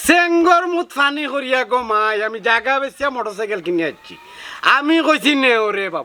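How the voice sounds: A man performs a put-on character voice at an extremely high pitch, with big pitch swings. His tone is bright and sharp, and his pace is fairly quick.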